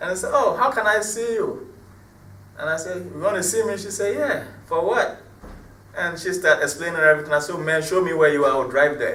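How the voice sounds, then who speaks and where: Over noticeable background noise and audible room echo, a man with a high voice talks at a fairly quick pace with ordinary pitch variation. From Ghana, Cape Coast. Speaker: hip-hop artist. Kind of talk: interview. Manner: animated.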